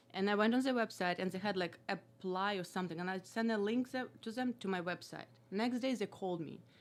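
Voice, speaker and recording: With a Russian accent, a woman speaks at a fairly quick pace with hardly any pauses at a medium pitch, over noticeable background noise. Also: ordinary pitch variation. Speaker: comedian and former kickboxer. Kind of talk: casual chat. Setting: studio.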